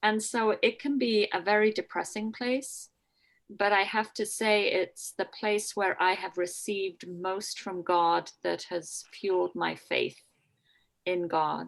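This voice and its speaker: Very slow speech with a Scottish accent and ordinary pitch variation, on a very clean recording with a silent background. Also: woman, medium pitch for a woman. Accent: faint Scottish. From Scotland. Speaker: jail chaplain and priest. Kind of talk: talk to a church group.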